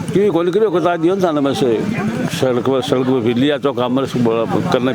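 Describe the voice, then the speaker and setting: There is noticeable background noise and audible room echo. A man at medium pitch speaks at a moderate pace with lively intonation. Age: 70s. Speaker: villager. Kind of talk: street interview.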